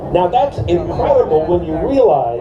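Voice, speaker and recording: A man speaks at a moderate pace. The room echo is audible and there is noticeable background noise. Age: 70s. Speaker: attorney and activist. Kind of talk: rally speech.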